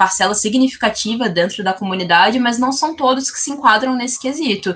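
A woman with lively intonation and a bright, sharp tone. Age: 20s. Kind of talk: podcast interview.

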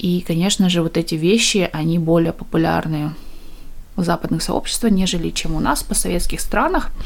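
The clip features an ordinary speaking voice, delivered at a moderate rate. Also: woman, fairly low pitch for a woman, ordinary pitch variation. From East Kazakhstan, village. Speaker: podcaster. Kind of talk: interview answers.

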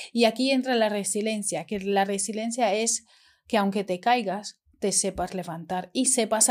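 In a normal speaking voice, a woman speaks at a fairly slow pace with medium pitch and ordinary variation, on a very clean recording with a silent background. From Romania. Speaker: eyelash extension educator. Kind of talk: casual chat.

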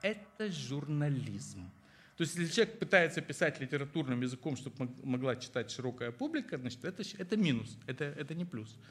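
The speaker talks at a fairly quick pace with lively intonation and vocal fry. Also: man, fairly high pitch for a man. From Moldova (Chisinau). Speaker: historian and book publisher. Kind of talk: interview on stage before an audience. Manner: halting with many fillers.

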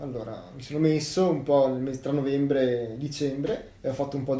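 A man with a fairly high pitch speaks at a fairly quick pace, with noticeable background noise and audible room echo. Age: 20s. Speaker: university student and hobby woodcarver. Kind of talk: casual interview.

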